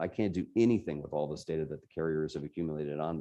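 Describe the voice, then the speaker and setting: A man talks at a very fast pace with a slight New Jersey accent and a dark, mellow tone. His pitch varies in an ordinary way against a quiet background. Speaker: tech journalist, invited speaker. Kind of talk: talk to a user group.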